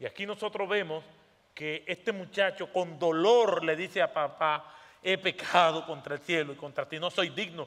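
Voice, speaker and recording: This man's voice sits high for his sex, and he talks at a moderate speed. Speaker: pastor. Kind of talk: sermon. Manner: animated.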